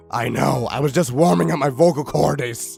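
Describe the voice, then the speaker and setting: Faint music plays in the background as a man in a raspy, put-on character voice speaks at a moderate pace and medium pitch. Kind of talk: parody fanfic reading. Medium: read story.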